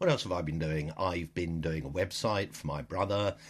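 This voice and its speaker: Against a quiet background, a man with a British accent speaks at a moderate pace. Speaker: diarist with bipolar disorder. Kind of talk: audio diary. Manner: halting.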